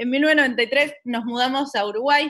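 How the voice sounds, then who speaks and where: In a Rioplatense accent, a woman speaks high with a bright, sharp tone and ordinary pitch variation against a quiet background. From Buenos Aires, Argentina; Argentina. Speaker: science communicator. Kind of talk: online talk. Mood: warm, relaxed, anecdotal. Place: home room. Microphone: video call.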